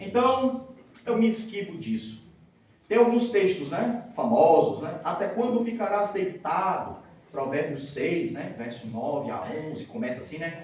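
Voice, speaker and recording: Amid noticeable background noise and audible room echo, a man speaks at a high pitch and a fairly slow pace in an animated tone, with very wide pitch swings and big swings in loudness. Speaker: pastor. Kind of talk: sermon. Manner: animated, joking with audience.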